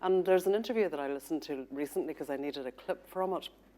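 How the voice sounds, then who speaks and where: Very fast and with a Northern Irish accent, a woman speaks in a dark, mellow tone with ordinary pitch variation. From Northern Ireland, Protestant community. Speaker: journalist and author. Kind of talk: panel discussion. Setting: studio.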